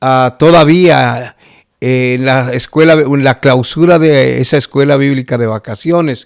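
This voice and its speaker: A man speaks at a medium pitch with fairly even intonation. His pace is fairly slow. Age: 60s. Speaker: pastor. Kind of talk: testimony. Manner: halting, with many fillers.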